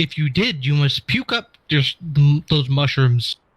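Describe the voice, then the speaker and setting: Using a put-on character voice, a man talks at a moderate pace with a fairly high pitch. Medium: actual play. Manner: stiff, formal phrasing.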